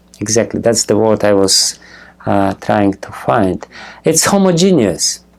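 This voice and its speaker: A fairly slow delivery with a non-native accent and lively intonation. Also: man, fairly low pitch for a man. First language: not English. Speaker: spiritual teacher. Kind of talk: lecture. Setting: temple with audience. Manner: halting, many fillers.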